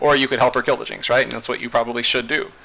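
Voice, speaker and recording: A man's medium-pitched, monotone voice with flat intonation and noticeable background noise. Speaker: video game coach. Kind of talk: tutorial. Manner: fast; casual, with many fillers.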